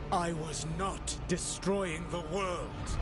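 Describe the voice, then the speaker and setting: A man puts on a high-pitched character voice over loud background noise. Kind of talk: formal fantasy diction. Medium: game stream. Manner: measured, cool, articulate.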